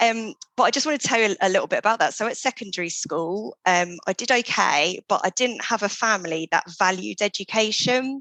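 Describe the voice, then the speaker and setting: A woman speaks at a fairly quick pace in a fairly high pitch with lively intonation. Her tone is bright and sharp, with a dry, close sound and no echo. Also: hardly any pauses. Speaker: PhD student. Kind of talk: podcast interview. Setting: call.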